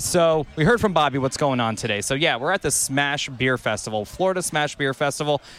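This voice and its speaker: A man speaks at a fairly quick pace with hardly any pauses, his fairly high pitch showing ordinary variation over noticeable background noise. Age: 40s. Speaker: podcast host. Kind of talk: casual interviews. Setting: outdoors at a beer festival.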